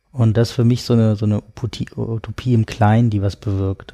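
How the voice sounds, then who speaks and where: A man speaks in a fairly low pitch with a dark, mellow tone, somewhat breathy. His intonation is monotone and flat, and the sound is dry and close with no echo. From Berlin, Germany. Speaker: writer and tech philosopher. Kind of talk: casual chat. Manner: halting.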